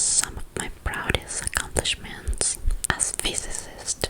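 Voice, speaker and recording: A woman is whispering at a fairly slow pace. Noticeable background noise runs behind her. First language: Spanish. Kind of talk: ASMR whispered book reading. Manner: soft, whispered.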